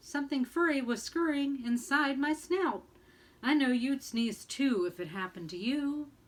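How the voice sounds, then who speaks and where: A woman bellows in a high-pitched, put-on character voice. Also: moderate pace. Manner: roaring, indignant.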